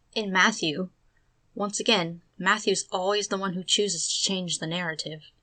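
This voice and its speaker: This woman has a plain, everyday voice at a medium pitch. She talks at a moderate pace with fairly even intonation. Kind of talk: commentary narration.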